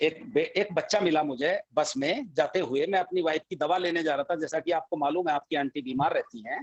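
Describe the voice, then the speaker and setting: This man's fairly high voice shows ordinary pitch variation as he keeps a moderate pace with hardly any pauses. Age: 60s. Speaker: financial expert. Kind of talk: panel discussion. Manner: animated. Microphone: voice breaking up on the line.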